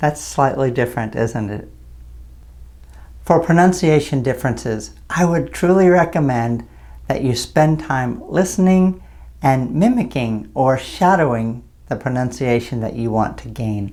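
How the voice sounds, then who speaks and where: Speaking at a fairly slow pace, a man with an American accent has a medium pitch, a dark, mellow tone and lively intonation. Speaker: English teacher. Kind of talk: tutorial. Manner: clear, deliberate.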